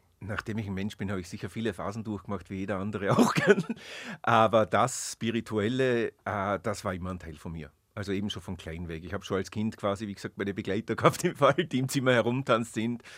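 Speaking fairly quickly, a man with an unremarkable speaking voice and a fairly low pitch shows ordinary pitch variation and big swings in loudness. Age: 50s. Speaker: witch, shop owner. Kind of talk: interview. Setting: studio.

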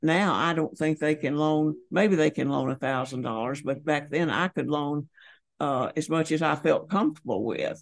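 Ordinary pitch variation runs through speech in an American accent, recorded against a quiet background. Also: woman, very deep, low pitch for a woman. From Georgia, US South. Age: 90s. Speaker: retired banker, cancer survivor. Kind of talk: elder life story, reminiscing interview answers. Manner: slow, unhurried, plainspoken and fond, with pauses and 'uh' fillers.

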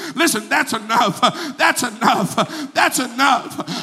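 Through noticeable background noise, a man uses a raised, projected voice at a fairly slow pace. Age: 40s. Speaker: evangelist. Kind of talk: sermon. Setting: church. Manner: animated.

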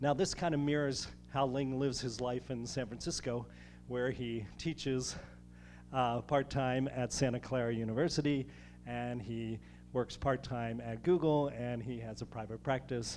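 This man has a normal speaking voice at medium pitch. He keeps a moderate pace with fairly even intonation. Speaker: host introducing speaker. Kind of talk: introduction speech. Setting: stage with audience.

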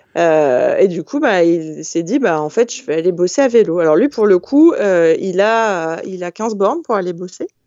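At a fairly slow pace and with hardly any pauses, a woman talks at a medium pitch in a plain, everyday voice. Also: lively intonation. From France, Hautes-Alpes. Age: 30s. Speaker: employment information worker. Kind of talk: casual chat.

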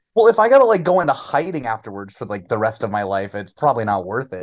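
A man talks at a fairly quick pace. He has an American accent. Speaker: sports podcast co-host and school teacher. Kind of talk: casual sports chat.

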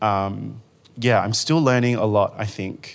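A man's fairly low voice in an Australian accent, fairly slow and fairly even in intonation, on a very clean recording with a silent background. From Western Australia (Rockingham). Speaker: arts manager and writer. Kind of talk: panel discussion. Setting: stage with audience.

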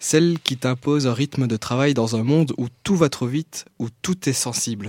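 Recorded very cleanly against a silent background, a man with a fairly high pitch and a dark, mellow tone speaks at a fairly slow pace with ordinary pitch variation. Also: dry, close sound with no echo. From Belgium, Liège. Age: 20s. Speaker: youth columnist, journalism graduate. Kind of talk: reading own text aloud; announcements.

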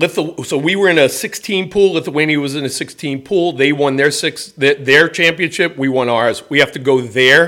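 With hardly any pauses, a man in an American accent talks at a moderate pace, his fairly high voice bright and sharp with ordinary pitch variation. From New York City, the Bronx. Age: 50s. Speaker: baseball coach. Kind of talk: casual interview. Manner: animated.

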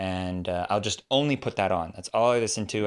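In a very clean recording with a silent background, a speaker with an American accent talks at a fairly quick pace with ordinary pitch variation. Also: man. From California, US. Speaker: Korean language teacher and YouTuber. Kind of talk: interview.

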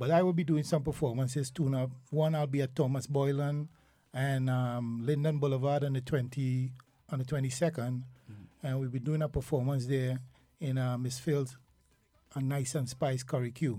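Over a very clean recording with a silent background, a man talks at a moderate pace with a medium pitch. His dark, mellow tone is somewhat breathy, and his intonation stays monotone and flat. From Trinidad and Tobago, Port of Spain. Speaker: soca artist. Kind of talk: casual chat. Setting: studio.

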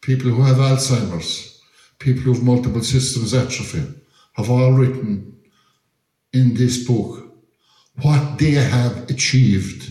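This speaker has an Irish accent and talks fairly slowly with long, frequent pauses. The loudness stays very even, and room echo is audible. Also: man, medium pitch for a man, fairly even intonation. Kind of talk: talk to audience.

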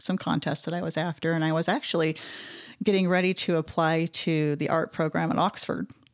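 Using a plain, everyday voice with an American accent, a woman with a fairly low pitch speaks at a fairly quick pace in a dry, close recording with no echo. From Utah. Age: 40s. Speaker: artist, illustrator and muralist. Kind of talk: interview conversation.

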